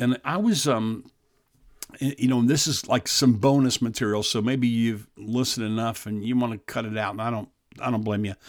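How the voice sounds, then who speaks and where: In a very clean recording with a silent background, a man with an unremarkable speaking voice talks with fairly even intonation. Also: medium pitch for a man. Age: 60s. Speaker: pastor and podcast host. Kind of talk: devotional talk to men. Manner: earnest, repetitive with restarts.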